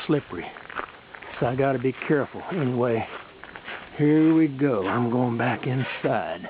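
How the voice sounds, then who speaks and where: Through noticeable background noise, a man speaks at a moderate pace with ordinary pitch variation and long, frequent pauses. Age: 60s. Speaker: amateur video maker. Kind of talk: casual video narration. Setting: outdoors.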